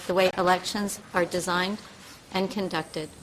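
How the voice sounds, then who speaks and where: A woman with a Canadian accent is heard over noticeable background noise. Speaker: advocate for the blind testifying as witness. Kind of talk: formal testimony read from screen reader. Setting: committee hearing. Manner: halting, repeating text heard in ear; occasional stutters and restarts.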